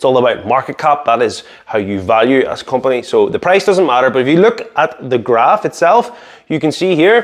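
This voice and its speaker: A fairly high-voiced man at a fairly quick pace, with very wide pitch swings. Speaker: stock market YouTuber. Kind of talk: casual explainer to camera. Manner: fast.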